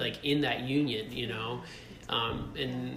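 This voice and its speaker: Noticeable background noise and audible room echo surround a man who speaks at a moderate pace and medium pitch with an American accent, his intonation flat and monotone. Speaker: husband sharing faith testimony. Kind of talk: casual interview testimony. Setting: rented studio space in Brooklyn.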